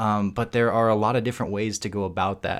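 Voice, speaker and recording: A man with a plain, everyday voice, fairly low in pitch, talking at a fairly quick pace on a very clean recording with a silent background. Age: 30s. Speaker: video game podcast co-host. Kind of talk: casual chat.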